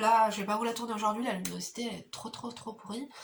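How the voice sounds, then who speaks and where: Over noticeable background noise, a woman talks very fast in a fairly high, monotone, flat voice. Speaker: beauty vlogger and mother. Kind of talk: casual chat while doing makeup. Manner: soft-spoken. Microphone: no microphone, camera audio.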